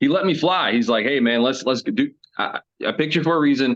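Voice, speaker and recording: A man speaks at a fairly quick pace with lively intonation. His pitch is fairly high. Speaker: voice actor. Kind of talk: interview. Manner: animated.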